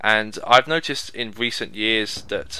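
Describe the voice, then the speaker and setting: Noticeable background noise sits behind a man's voice. He talks at a fairly slow pace and a medium pitch. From England. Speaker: gaming YouTuber. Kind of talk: casual commentary monologue. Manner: conversational.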